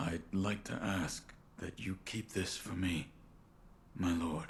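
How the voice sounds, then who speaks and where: A man's put-on character voice, very deep and low, monotone and flat, at a fairly slow pace over clear background noise. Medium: video game. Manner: terse, stoic.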